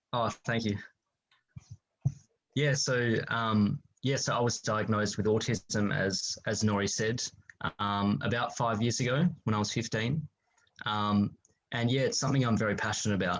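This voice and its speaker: At a moderate pace and with very even loudness, this speaker with an Australian accent uses ordinary pitch variation and takes long, frequent pauses. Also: man, medium pitch for a man. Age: 20s. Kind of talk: interview.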